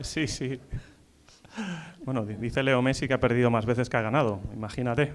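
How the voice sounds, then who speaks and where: A medium-pitched man's voice at a fairly quick pace, with long, frequent pauses and ordinary pitch variation. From Spain, Valencia. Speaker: event moderator. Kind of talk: panel discussion.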